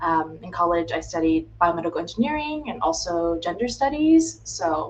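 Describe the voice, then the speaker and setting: Speech comes at a moderate pace in an American accent. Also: woman. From US, Florida. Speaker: healthcare consultant. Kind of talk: casual interview on livestream.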